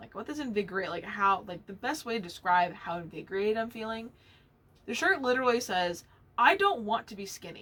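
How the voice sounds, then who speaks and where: In an animated tone, a woman talks at a fairly quick pace amid noticeable background noise. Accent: American. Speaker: knitting podcast host. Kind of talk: casual monologue. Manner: loud when passionate.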